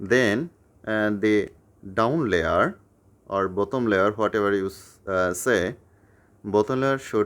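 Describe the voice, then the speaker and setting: With a non-native accent, a man speaks at a very slow pace with long, frequent pauses, a fairly low pitch and ordinary pitch variation in a very clean recording with a silent background. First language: not English. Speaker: YouTuber teaching puzzle tricks. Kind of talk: tutorial. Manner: halting with fillers.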